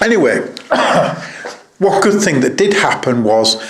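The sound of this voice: Slow delivery with big pitch swings and audible room echo. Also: man, medium pitch for a man.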